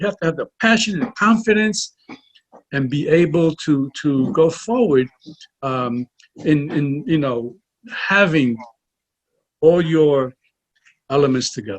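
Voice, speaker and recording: Somewhat breathy and fairly high-pitched, a man talks at a fairly slow pace with very wide pitch swings. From Puerto Rico. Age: 70s. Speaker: author and film financier. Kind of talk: interview. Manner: halting, repeats words.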